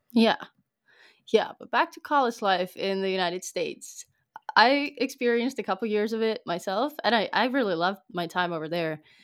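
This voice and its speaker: With a normal speaking voice, a woman talks at a moderate pace and a fairly high pitch, her intonation lively, on a very clean recording with a silent background. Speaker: podcast host, student. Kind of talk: casual interview.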